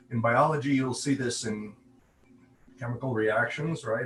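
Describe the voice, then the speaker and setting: Noticeable background noise sits behind a man speaking in a medium pitch with fairly even intonation. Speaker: conference speaker, AI researcher. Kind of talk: conference presentation.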